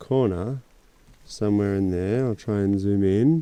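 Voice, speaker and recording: In an Australian accent, a man speaks at a fairly slow pace with a fairly low pitch. His tone is dark and mellow, with ordinary pitch variation. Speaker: travel vlogger. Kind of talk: casual vlog narration. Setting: outdoors.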